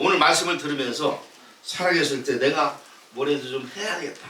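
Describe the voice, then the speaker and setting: A man's fairly high-pitched voice at a moderate pace, with audible room echo and noticeable background noise. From South Korea. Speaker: pastor. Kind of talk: sermon. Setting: church with congregation. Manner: conversational, engages congregation with questions.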